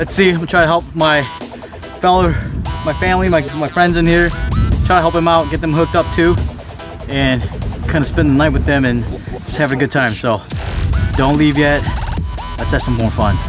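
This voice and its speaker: Over clear background music, a man talks at a fairly quick pace. The sound is dry and echo-free. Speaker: fishing vlogger. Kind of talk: casual vlog chat. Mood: happy, excited. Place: waterside. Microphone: phone near.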